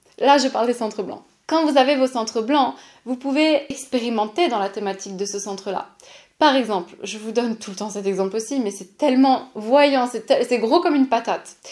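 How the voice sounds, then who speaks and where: In an animated tone, a woman speaks with a high pitch, ordinary pitch variation and big swings in loudness. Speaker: podcast host and human design coach. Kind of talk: solo podcast monologue. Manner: fast.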